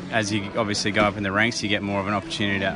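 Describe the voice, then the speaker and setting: Over noticeable background noise, a man talks at a very fast pace with a fairly low pitch. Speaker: army officer. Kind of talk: casual interview.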